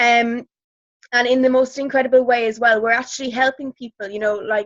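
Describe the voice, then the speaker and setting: With an Irish accent, the speaker goes at a fairly quick pace in a monotone, flat intonation, the sound dry and close with no echo. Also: woman. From Ireland. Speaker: network marketing distributor. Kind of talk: testimony. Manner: hesitant, many fillers.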